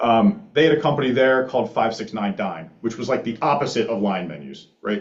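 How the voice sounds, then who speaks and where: American-accented man at a medium pitch, talking at a fairly quick pace with lively intonation amid audible room echo. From Philadelphia suburbs, Pennsylvania. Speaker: startup founder. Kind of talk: conference talk. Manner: casual, many fillers.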